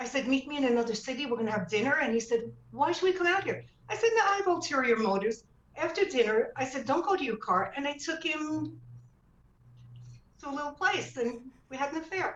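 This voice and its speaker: Speaking at a very fast pace, a woman's high voice sounds animated and makes very wide pitch swings. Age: 70s. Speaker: author. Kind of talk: interview.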